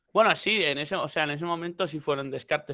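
Against a quiet background, a man delivers his words at a fairly quick pace. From Spain. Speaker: rapper; interview guest. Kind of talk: casual chat. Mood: relaxed, joking. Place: home room. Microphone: headset.

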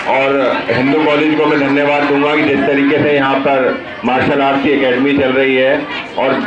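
A man speaks at a moderate pace. Crowd noise can be heard behind him. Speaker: guest. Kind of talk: public address speech. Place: hall.

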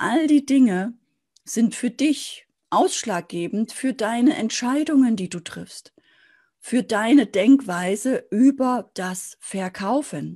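Over a quiet background, a woman speaks very slowly at a fairly high pitch in a dark, mellow tone, with lively intonation and big swings in loudness. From East Germany, Dresden (Saxony); Saxony. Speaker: sales and business coach; sales, business coach. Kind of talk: motivational video talk to camera. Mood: warm, encouraging. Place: office. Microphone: webcam.

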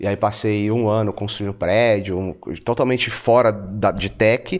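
A man's voice with a fairly low pitch and fairly even intonation. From Bahia, Brazil (Feira de Santana), born in São Paulo. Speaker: entrepreneur and investor. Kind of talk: interview conversation. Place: studio. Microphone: studio mic.

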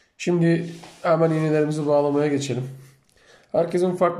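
A man with a fairly high pitch speaks in a dark, mellow tone, with audible room echo around him. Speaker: amateur fishing youtuber. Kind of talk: tutorial. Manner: slow, step-by-step.

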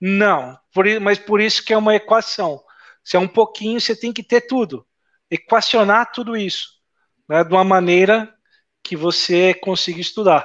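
Over a quiet background, a man with a high pitch speaks at a moderate pace with ordinary pitch variation. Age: 40s. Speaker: network engineer and instructor; instructor. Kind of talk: casual interview. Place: home room. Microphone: earbuds.

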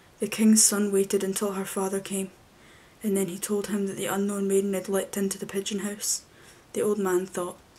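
The voice is soft-spoken. It moves at a fairly quick pace. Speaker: storyteller. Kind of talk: story reading aloud. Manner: soft-spoken ASMR storytelling voice. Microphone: webcam.

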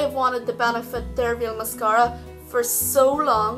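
A woman talks at a fairly slow pace. Behind her, music plays in the background. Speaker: beauty vlogger. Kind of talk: casual talk to camera.

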